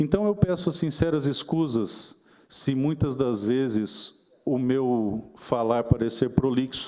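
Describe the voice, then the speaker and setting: Pitch varies in a normal way as the words come out very slowly. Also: man. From Mato Grosso do Sul, Brazil (Dourados). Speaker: politician. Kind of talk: formal speech at a seminar. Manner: formal, measured.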